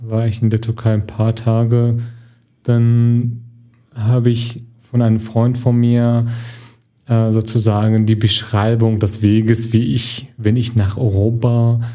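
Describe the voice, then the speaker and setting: A man speaks very slowly in a monotone, flat way, with long, frequent pauses. His tone is dark and mellow, and his loudness stays very even. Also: medium pitch for a man. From Syria. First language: Arabic (speaking German). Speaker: actor and film student. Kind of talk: interview. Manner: halting.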